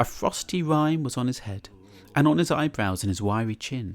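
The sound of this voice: A man speaks at a fairly slow pace with lively intonation. The recording is very clean, with a silent background.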